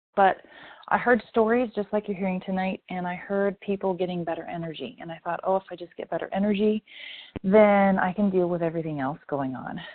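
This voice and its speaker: A woman's ordinary speaking voice, an ordinary speaking voice at medium pitch with an American accent, fairly quick pace, ordinary pitch variation and big swings in loudness. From Indiana. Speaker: guest giving testimonial. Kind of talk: testimony. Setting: phone call.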